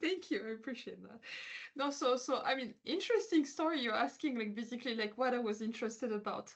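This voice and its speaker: Lively in her intonation, a woman talks at a high pitch and a very fast pace. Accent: French. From France. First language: French. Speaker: quantum physicist. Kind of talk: interview. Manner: hesitant, many fillers.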